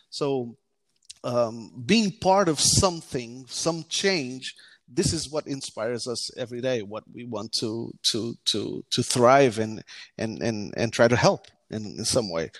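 Lively intonation in a Portuguese accent at a fairly slow pace, with a dry, close sound with no echo and a very clean recording over a silent background. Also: man, medium pitch for a man. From Portugal, partly childhood in the US. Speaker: tech startup founder. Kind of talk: interview. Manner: halting, many fillers.

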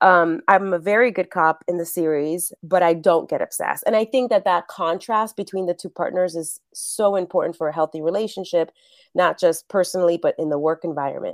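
A woman with a fairly low voice and a Spanish accent talks at a fairly quick pace with hardly any pauses, in a very clean recording with a silent background and a dry, close sound with no echo. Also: ordinary pitch variation. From New York City, the Bronx. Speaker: actress and acting coach. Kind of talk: interview.

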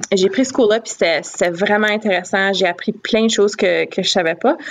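A woman with an ordinary speaking voice keeps a moderate pace and shows ordinary pitch variation. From Northern Ontario, Sturgeon Falls. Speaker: education professor and doctoral student. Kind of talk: casual interview.

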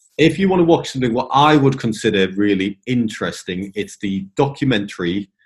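A man with an English accent talks at a fairly quick pace with lively intonation, a medium pitch and hardly any pauses. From England. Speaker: property investor, ex-military pilot. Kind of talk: interview.

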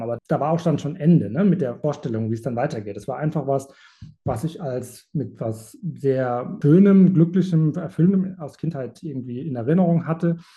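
With a dark, mellow tone, a man speaks fairly quickly at a fairly high pitch, sounding somewhat breathy. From Germany, rural village. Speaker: animal sanctuary founder. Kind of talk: interview. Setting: video call.

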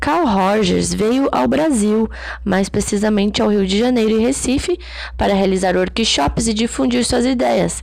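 A woman talks at a fairly slow pace with very even loudness. Audible room echo and noticeable background noise are present. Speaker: psychology educator. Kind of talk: lecture. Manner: reads passages then paraphrases with fillers.

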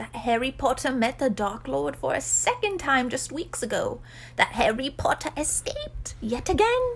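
A put-on character voice plays out over clear background noise. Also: moderate pace. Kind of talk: servile, archaic. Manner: timid, anxious.

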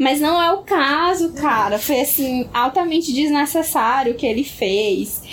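A woman's high-pitched voice with lively intonation, a fairly slow pace, hardly any pauses, very even loudness and noticeable background noise. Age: 20s. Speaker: podcast co-host. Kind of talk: casual chat.

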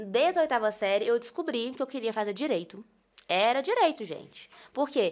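Her intonation is lively. This woman speaks with a high pitch. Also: moderate pace. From Brazil, Minas Gerais (Itaúna). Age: 20s. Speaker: lawyer. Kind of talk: casual interview chat.

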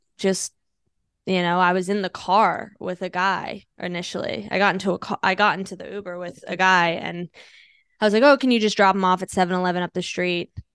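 A plain, everyday voice: a woman with an American accent speaks at medium pitch and a fairly quick pace with fairly even intonation, the sound dry and close with no echo and a quiet background. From Washington DC area / northern Virginia. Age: 30s. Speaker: stand-up comedian. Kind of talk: casual interview chat. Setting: podcast. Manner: fast, filler-heavy with lots of 'like'.

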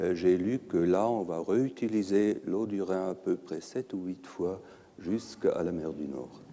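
A man speaks at a very slow pace in a very deep, low voice with a dark, mellow tone and ordinary pitch variation. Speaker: pharmaceutical environmental risk scientist. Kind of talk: conference lecture. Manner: halting, hesitant non-native French.

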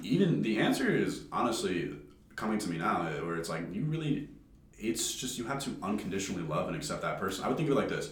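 The speech comes at a very fast pace with very wide pitch swings. Audible room echo fills the recording. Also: man, medium pitch for a man. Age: 20s. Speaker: college student. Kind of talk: casual chat.

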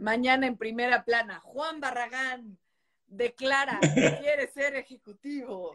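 Speaking at a very slow pace, a woman uses a high voice with ordinary pitch variation. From Mexico. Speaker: journalist and live-stream host. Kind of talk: casual interview. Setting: live video stream.

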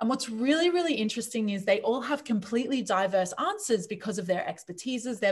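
Speaking in an Australian accent at a fairly quick pace, a woman with a fairly high pitch and a somewhat breathy voice uses lively intonation and hardly any pauses. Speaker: leadership coach. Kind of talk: interview.

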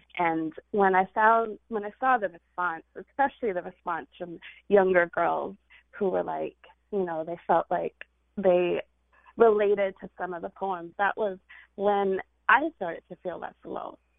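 A woman's unremarkable speaking voice in an American accent, medium in pitch, at a fairly slow pace, with ordinary pitch variation and big swings in loudness. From California. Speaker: poet. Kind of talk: casual interview chat. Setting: studio.

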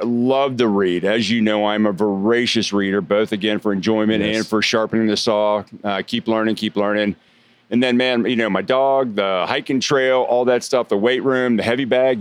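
A man's medium-pitched voice, very even in loudness, with fairly even intonation at a moderate pace. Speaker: podcast guest; sales training founder. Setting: restaurant. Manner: smooth, polished pitch.

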